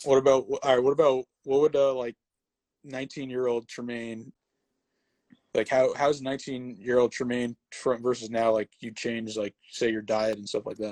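In an ordinary speaking voice, a man with an American accent talks at a moderate pace and medium pitch, his intonation fairly even but his loudness swinging widely, with a dry, close sound, no echo, and a quiet background. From New Jersey. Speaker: sports podcast host. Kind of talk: casual interview on instagram live.

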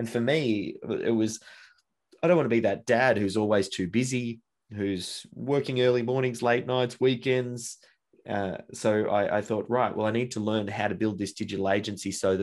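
With an Australian accent, a man talks at a fairly low pitch and a moderate pace, with fairly even intonation. The background is quiet. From Australia, Melbourne. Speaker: entrepreneur. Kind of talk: casual chat.

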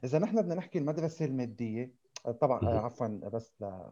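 Fairly quick and with lively intonation, a man speaks at medium pitch in a dark, mellow tone. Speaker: podcast co-host. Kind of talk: casual discussion.

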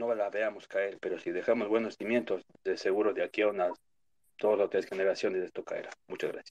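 Delivered fairly quickly, the speech sounds close and dry, free of any echo. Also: man. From New York (born in Ecuador). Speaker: caller. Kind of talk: opinion call-in on a live audio space.

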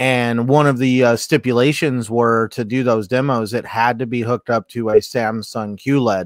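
A man's normal speaking voice, medium in pitch, at a moderate pace with hardly any pauses and fairly even intonation. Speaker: panelist. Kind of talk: casual panel chat about gaming news.

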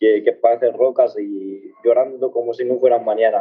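A man talks fairly slowly while music plays in the background. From Morocco (Tangier), raised in Spain. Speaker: barefoot runner. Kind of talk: interview. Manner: halting.

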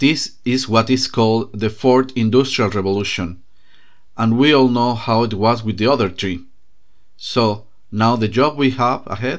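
A man with a non-native accent, medium pitch, fairly even intonation and a fairly slow pace. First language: not English. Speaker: podcast host. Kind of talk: scripted narration.

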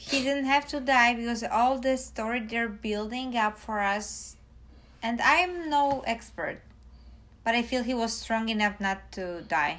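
This woman speaks with a Polish accent. Her pitch is fairly high and shows ordinary variation. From Poland. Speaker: host's partner. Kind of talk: casual chat.

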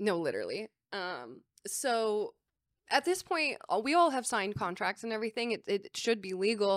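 A woman with a Southern California accent, fairly high in pitch, at a moderate pace, in a very clean recording with a silent background and a dry, close sound with no echo. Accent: Southern California, valley girl. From San Diego, California. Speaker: film producer. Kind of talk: casual chat.

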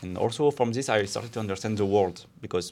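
With music in the background, a man with a French accent talks at a very fast pace, his fairly low voice showing ordinary pitch variation. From France. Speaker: podcast co-host. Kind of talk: casual chat.

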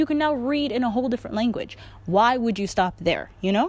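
A woman with a fairly high pitch speaks in an animated tone. Her pitch swings very widely. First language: not Korean; learner of Korean. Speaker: podcast host, language learner. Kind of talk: casual solo podcast talk. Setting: outdoors.

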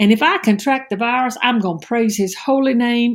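Somewhat breathy, a woman talks at a moderate pace on a very clean recording with a silent background. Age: 60s. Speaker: preacher. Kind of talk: devotional sermon. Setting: at home.

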